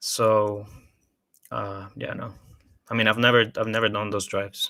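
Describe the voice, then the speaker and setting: A man's fairly low, bright and sharp voice in a flat monotone at a moderate pace. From Colombia. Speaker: house music artist. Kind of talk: casual interview. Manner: halting, many fillers and repeats.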